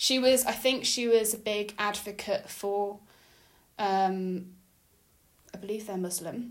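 A woman with a medium pitch speaks at a fairly slow pace with fairly even intonation and long, frequent pauses, with audible room echo. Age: 20s. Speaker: podcast co-host. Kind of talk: casual chat. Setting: home dining room.

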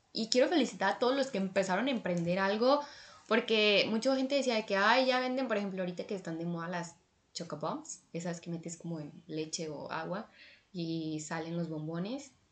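A woman talks at a fairly quick pace with a Mexican accent. Her pitch is medium and her intonation lively. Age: 20s. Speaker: podcast host. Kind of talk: casual solo monologue. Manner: animated.

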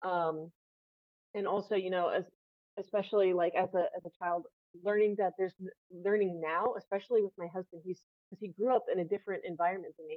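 The speaker talks very fast with an American accent and fairly even intonation. Long, frequent pauses break up speech whose loudness swings widely. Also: woman, medium pitch for a woman. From US South, northern Florida. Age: 30s. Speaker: guest sharing personal story. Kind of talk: casual interview.

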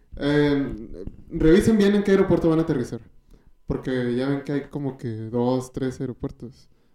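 Speech in a Mexican accent comes at a moderate pace with a dark, mellow tone and ordinary pitch variation. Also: man, fairly high pitch for a man. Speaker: podcast co-host and comedian. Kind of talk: casual chat.

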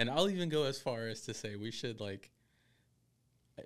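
A man is speaking. His pace is moderate. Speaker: barbecue podcast co-host. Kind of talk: casual chat.

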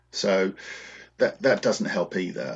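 The speaker is a man. He has a British accent. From England. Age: 50s. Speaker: wargamer and video creator. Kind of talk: casual interview chat. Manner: hesitant, many fillers.

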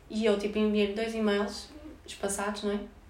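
The pitch of this woman's voice is fairly high. Room echo is audible. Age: 20s. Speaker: university student. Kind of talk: casual chat. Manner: animated.

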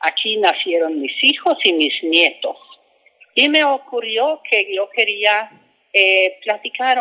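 Very slowly, a woman speaks at a medium pitch with lively intonation and a bright, sharp tone. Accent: Swedish. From Sweden. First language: Swedish (speaking Spanish). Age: 70s. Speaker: author. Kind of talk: book promotion interview. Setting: book fair. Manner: halting.

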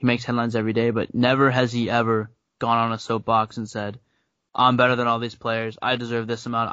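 Monotone and flat, a man's voice races along at a very fast pace. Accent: American. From upstate New York. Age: 20s. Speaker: university student. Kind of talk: casual chat.

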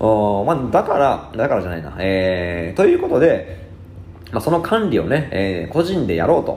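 Pitch swings very widely in this moderate-paced voice, heard with audible room echo and noticeable background noise. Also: man, medium pitch for a man. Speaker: blogger and podcast host. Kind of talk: solo explainer talk. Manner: many filler words.

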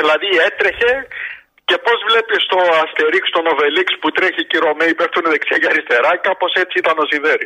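A man talks at a moderate pace with very even loudness. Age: 60s. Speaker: radio show caller, sports fan. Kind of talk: casual call-in chat about sports.

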